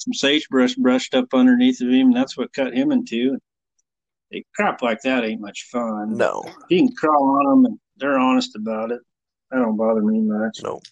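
This man has a normal speaking voice at a medium pitch, with an American accent, a moderate pace, ordinary pitch variation, and a dry, close sound with no echo. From Nebraska, US Midwest. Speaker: saddle maker. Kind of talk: casual chat.

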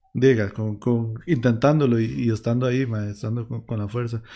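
A man speaks in a Costa Rican accent with a dark, mellow tone. His pace is moderate, and his pitch varies in an ordinary way. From Costa Rica, Heredia. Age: 20s. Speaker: podcast host, musician. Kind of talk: casual interview chat. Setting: live stream, home.

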